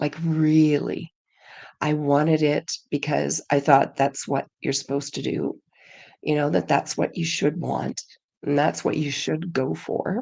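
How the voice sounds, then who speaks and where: With vocal fry and a very deep, low pitch, a woman speaks at a fairly slow pace with fairly even intonation. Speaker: podcast co-host. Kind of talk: casual chat. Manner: halting.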